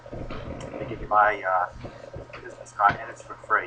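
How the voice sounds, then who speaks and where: There is noticeable background noise behind this recording. A man with an American accent speaks at a fairly low pitch. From Long Island, New York. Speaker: addiction recovery coach. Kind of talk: street outreach conversation. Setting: outdoors on the street. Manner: casual, conversational.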